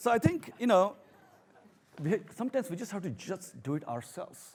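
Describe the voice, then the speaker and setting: With a strong Indian accent, a man speaks at a high pitch, his voice swinging very widely in pitch. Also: moderate pace, big swings in loudness. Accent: thick Indian. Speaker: professor. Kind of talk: talk to an audience.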